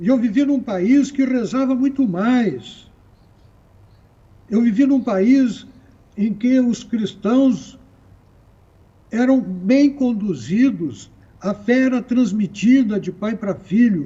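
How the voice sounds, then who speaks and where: A man speaks at a very slow pace with an extremely high pitch. His speech has long, frequent pauses. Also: ordinary pitch variation. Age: 70s. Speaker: writer and Christianity scholar. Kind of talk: TV panel discussion.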